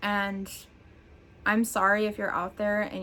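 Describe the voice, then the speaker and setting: The tone is bright and sharp. A woman delivers it at a fairly slow speed. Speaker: mental health blogger. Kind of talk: casual talk to camera.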